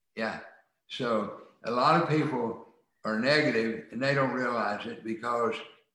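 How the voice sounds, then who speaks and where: A man speaks with an American accent at medium pitch and a fairly slow pace. His intonation is fairly even, and there is audible room echo. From rural US. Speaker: attorney and author. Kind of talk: interview.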